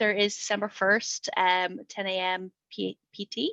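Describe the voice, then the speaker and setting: Recorded with a dry, close sound and no echo, a woman speaks with an Irish accent. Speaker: developer advocate, webinar host. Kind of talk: webinar presentation. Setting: online webinar. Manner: talkative.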